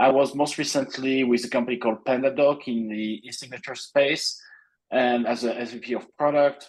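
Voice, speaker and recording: A man speaks at a medium pitch and a moderate pace in a monotone, flat intonation against a quiet background. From France. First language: French. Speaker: product executive. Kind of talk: webinar presentation.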